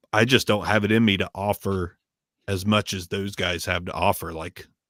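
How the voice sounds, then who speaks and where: Someone with a Midwestern American accent speaks at a moderate pace with fairly even intonation, in a very clean, dry, close recording with a silent background and no echo. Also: man, fairly low pitch for a man. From Southern Ohio, US. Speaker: microphone reviewer. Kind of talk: casual chat. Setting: live stream.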